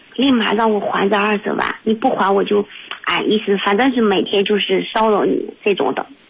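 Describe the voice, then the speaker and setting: Over noticeable background noise, a woman speaks at a moderate pace in a fairly high voice with fairly even intonation. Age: 30s. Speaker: caller. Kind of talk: testimony. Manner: halting.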